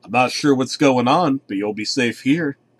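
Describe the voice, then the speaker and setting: This put-on character voice moves at a moderate pace and swings widely in loudness. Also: man, medium pitch for a man. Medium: read story. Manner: anxious.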